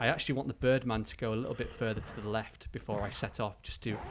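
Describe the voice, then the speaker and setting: Music plays in the background as a man speaks. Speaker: video game walkthrough commentator. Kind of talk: gameplay tutorial commentary. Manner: fast.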